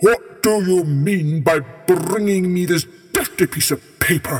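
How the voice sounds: A man does a put-on character voice, high in pitch and delivered at a fairly slow pace.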